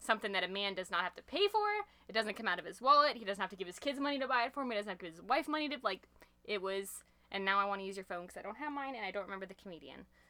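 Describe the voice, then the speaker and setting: Over noticeable background noise, a woman talks at a very fast pace with lively intonation. Her loudness swings widely. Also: medium pitch for a woman. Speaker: podcast guest. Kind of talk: casual chat.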